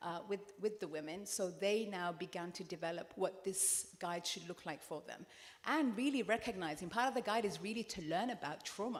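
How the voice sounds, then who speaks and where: A woman with a British accent at a medium pitch, moderate pace and ordinary pitch variation. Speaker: therapist and anti-FGM activist. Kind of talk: panel discussion. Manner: animated, passionate; repeats and restarts words.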